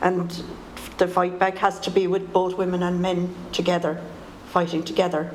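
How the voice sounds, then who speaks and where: Speaking with an Irish accent at a medium pitch, a woman is heard with audible room echo and noticeable background noise. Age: 70s. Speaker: poet and political activist. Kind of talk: panel talk.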